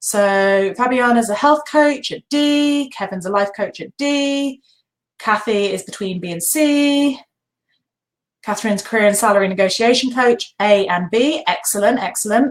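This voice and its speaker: This woman has a British accent and a fairly high pitch. Her tone is animated, and her intonation is lively. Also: moderate pace. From Britain. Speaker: online business coach. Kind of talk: live webinar training. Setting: live video webinar.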